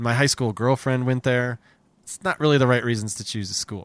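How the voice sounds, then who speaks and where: An American-accented man at a medium pitch and a very fast pace, with ordinary pitch variation, in a very clean recording with a silent background and a dry, close sound with no echo. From New Jersey. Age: 40s. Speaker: comedy podcast host. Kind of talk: casual chat; scripted narration.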